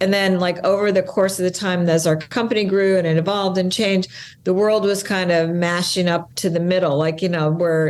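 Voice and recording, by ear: The voice has a slightly mellow tone and fairly even intonation at a moderate pace. Audible room echo surrounds it. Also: woman.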